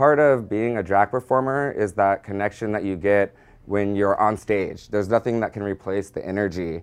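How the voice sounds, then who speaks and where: Over a quiet background, a man with a Californian accent speaks at a moderate pace, with a fairly low pitch and ordinary pitch variation. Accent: Californian American. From San Diego, California. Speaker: drag performer and costume shop owner. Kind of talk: interview testimony.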